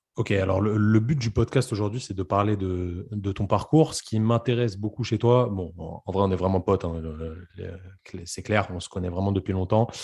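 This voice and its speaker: Against a quiet background, a man with a dark, mellow tone and a somewhat breathy, fairly low voice speaks at a moderate pace with ordinary pitch variation and hardly any pauses. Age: 20s. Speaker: podcast host, physiotherapist. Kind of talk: casual interview chat; scripted podcast intro.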